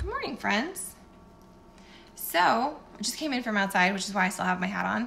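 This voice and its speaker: A woman at a fairly quick pace, over light background noise. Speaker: wellness vlogger. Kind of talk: casual vlog chat. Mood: candid, a bit discouraged. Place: kitchen. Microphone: phone near.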